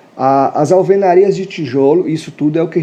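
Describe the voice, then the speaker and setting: With audible room echo, a man speaks in lively intonation. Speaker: architect. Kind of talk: live stream lecture. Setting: live stream. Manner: casual, many fillers.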